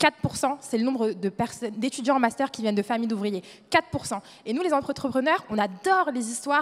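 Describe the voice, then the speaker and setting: Against noticeable background noise, a woman talks at a fairly quick pace in a high pitch. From France, Le Mans (Sarthe). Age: 20s. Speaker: young entrepreneur, panelist. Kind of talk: panel discussion. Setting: stage with audience.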